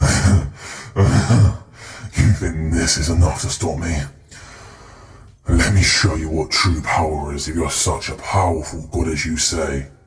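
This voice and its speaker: A man's growling, put-on character voice at a very deep, low pitch, monotone and flat, at a moderate pace with long, frequent pauses. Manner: defiant, menacing.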